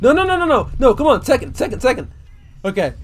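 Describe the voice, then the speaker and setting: Music plays behind a man as he talks. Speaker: gaming youtuber and writer. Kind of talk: casual gameplay commentary. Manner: unscripted, filler-heavy. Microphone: USB condenser mic without pop filter, mouth sounds audible.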